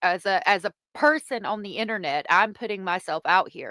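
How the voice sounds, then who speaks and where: A woman's medium-pitched voice in a Southern accent, with lively intonation, in a very clean, dry, close recording with no echo over a silent background. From US South. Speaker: streamer commenting on online drama. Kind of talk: live stream commentary reading chat. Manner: casual, halting.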